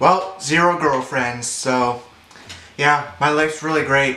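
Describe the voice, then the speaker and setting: Fairly slow delivery in a room with audible echo and noticeable background noise. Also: man. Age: 20s. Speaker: vlogger. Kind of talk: casual chat.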